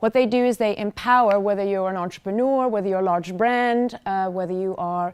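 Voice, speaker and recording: The recording is very clean, with a silent background. A woman talks at a fairly quick pace with a fairly high pitch and ordinary pitch variation. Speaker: digital marketing executive. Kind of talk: conference talk. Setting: stage with audience. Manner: loud; animated.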